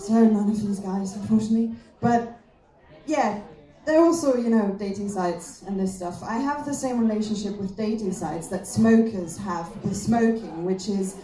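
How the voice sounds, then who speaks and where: At a moderate pace and with ordinary pitch variation, the speaker has a German accent, heard over noticeable background noise and audible room echo. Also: woman, medium pitch for a woman. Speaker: comedian. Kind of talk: stand-up.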